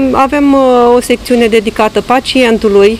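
With light background noise and a dry sound with no echo, a woman speaks at a moderate pace. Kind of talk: interview answer. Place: street.

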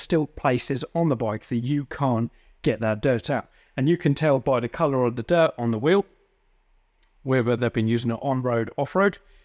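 At a moderate pace and with ordinary pitch variation, a man speaks against a quiet background. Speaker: presenter. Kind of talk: tutorial. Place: workshop. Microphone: lapel.

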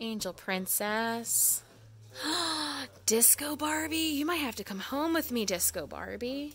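A woman's voice moves in very wide pitch swings over light background noise. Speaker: toy collector vlogger. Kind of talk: casual vlog chat. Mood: enthusiastic, fond. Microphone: phone near.

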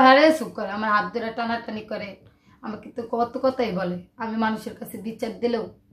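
The loudness swings widely and the pitch variation is ordinary. Audible room echo surrounds the voice. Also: woman. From Bangladesh, Dhaka; Bangladesh. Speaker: interviewee. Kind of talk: personal testimony. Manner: halting. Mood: sad, confessional. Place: home room.

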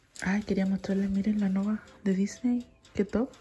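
Soft-spoken and at medium pitch, a woman talks at a fairly slow pace over light background noise. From Chile. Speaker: vlogger. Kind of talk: casual vlog. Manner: speaking softly. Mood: cheerful, amused. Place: kitchen. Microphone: phone near.

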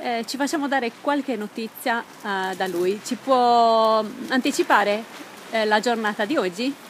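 At a fairly slow pace, a woman speaks with a fairly high pitch and ordinary pitch variation.

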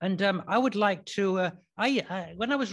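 A man speaks with an English accent. His pitch variation is ordinary. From England. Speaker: preacher. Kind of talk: sermon. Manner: halting.

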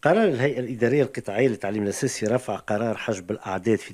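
Against a quiet background, a man speaks with a Tunisian accent. His pitch is fairly low, with ordinary variation. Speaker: radio host. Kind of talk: radio interview. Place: studio. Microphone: studio mic.

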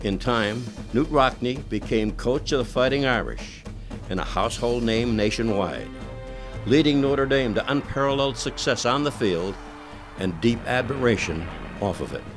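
A man speaks at a moderate pace in a medium pitch with ordinary pitch variation, music playing in the background. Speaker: sports broadcaster. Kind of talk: documentary narration.

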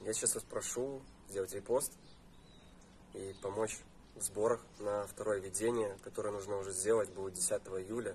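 A man's fairly low, monotone voice with flat intonation, at a moderate pace with long, frequent pauses. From Belarus, Gomel region. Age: 30s. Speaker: cancer patient fundraising. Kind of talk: personal appeal video. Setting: outdoors next to his car.

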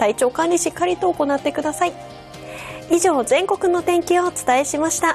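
With clear music in the background, a woman speaks at a moderate pace in a high pitch. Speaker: weather forecaster. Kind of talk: weather forecast broadcast. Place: studio. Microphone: lapel.

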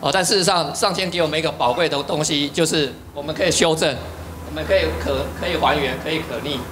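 Very fast speech with ordinary pitch variation against noticeable background noise. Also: man, fairly high pitch for a man. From Taiwan. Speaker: dharma class speaker; speaker. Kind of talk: lecture. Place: classroom. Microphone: handheld.

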